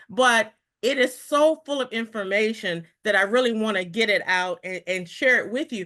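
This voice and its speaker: A bright, sharp tone with ordinary pitch variation against a quiet background. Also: woman. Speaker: federal workforce advocate presenting policy analysis. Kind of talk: informational presentation.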